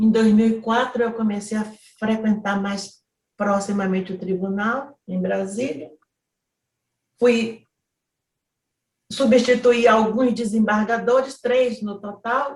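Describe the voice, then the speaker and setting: Pausing long and often, a somewhat breathy woman with fairly high pitch speaks at a very slow pace with fairly even intonation. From Brazilian Northeast. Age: 70s. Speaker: federal appellate judge. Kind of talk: autobiographical talk.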